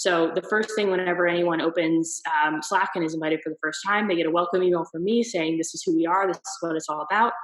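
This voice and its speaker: A woman with an American accent speaks very fast, with hardly any pauses, in a fairly low voice and fairly even intonation. Noticeable background noise runs under her. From US East Coast. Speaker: marketer. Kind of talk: interview answer.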